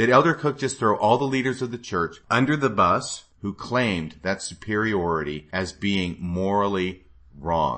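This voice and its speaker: Pitched fairly low, this man has a normal speaking voice. He keeps a moderate pace. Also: lively intonation. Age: 50s. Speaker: podcast host. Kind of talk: solo commentary monologue.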